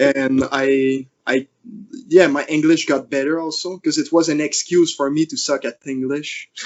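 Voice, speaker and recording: The speaker has a slight French accent and a moderate pace. The intonation is monotone and flat. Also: man, fairly high pitch for a man. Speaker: fingerboarder and YouTuber. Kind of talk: casual interview chat. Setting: podcast interview. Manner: halting, many restarts.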